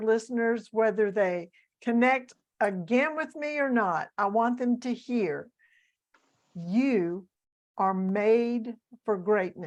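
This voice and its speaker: A woman with a Southern US accent speaks at a very slow pace and a fairly high pitch, with ordinary pitch variation against a quiet background. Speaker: author, coach and speaker. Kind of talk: interview.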